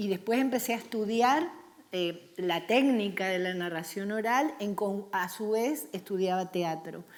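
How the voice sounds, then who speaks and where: Ordinary pitch variation at a fairly slow pace in an unremarkable speaking voice. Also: woman, medium pitch for a woman. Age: 60s. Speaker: storyteller for children. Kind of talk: panel discussion.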